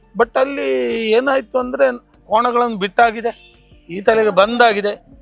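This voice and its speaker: Music plays in the background while a man speaks at a high pitch. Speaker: buffalo race commentator. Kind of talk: interview answer.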